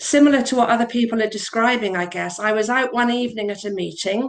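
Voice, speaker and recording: A woman with a plain, everyday voice, fairly high in pitch, with fairly even intonation. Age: 60s. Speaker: support group member sharing her story. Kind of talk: reading aloud a personal testimony. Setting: video call.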